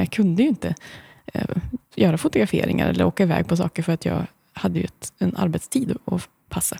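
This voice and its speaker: With no echo, the woman's voice comes across dry and close. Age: 40s. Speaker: blogger and author. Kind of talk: casual interview. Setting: studio.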